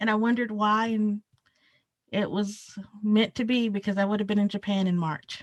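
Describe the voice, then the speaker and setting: A woman talks with a Southern US accent at a fairly high pitch. The sound is dry and close, with no echo. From rural South Carolina. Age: 30s. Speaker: archivist. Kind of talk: interview. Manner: casual, many fillers.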